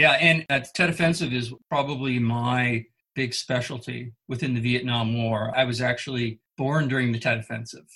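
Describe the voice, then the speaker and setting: With an American accent, a man at a medium pitch speaks at a moderate pace in a bright, sharp tone, with fairly even intonation and hardly any pauses. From Northern California. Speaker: military historian. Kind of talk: interview.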